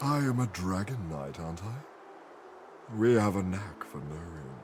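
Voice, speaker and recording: Over clear background noise, a man does a put-on character voice. It is very deep and low, delivered at a moderate pace. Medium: video game. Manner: formal, grave.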